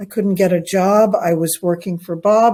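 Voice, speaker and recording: On a very clean recording with a silent background, a woman with a New York accent speaks in a dark, mellow tone. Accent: New York American. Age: 60s. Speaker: English tutor. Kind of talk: casual chat. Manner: slow.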